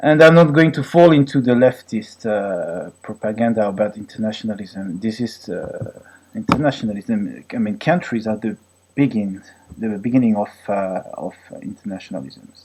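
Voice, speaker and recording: A man with a French accent talks at a moderate pace and a medium pitch. His intonation is lively, with big swings in loudness. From France, Brittany. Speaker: vlogger, former physics researcher. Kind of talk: political rant monologue. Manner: halting, many fillers.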